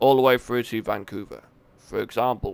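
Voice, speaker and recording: The recording is very clean with a silent background, and a man speaks in a British accent. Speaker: gaming streamer. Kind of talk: live gameplay commentary. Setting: live stream. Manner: casual, halting.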